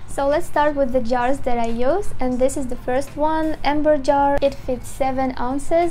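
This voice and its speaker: A woman's high voice in a non-native accent, with audible room echo and noticeable background noise. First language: not English. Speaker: candle maker and small business owner. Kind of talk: product tutorial. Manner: halting with fillers.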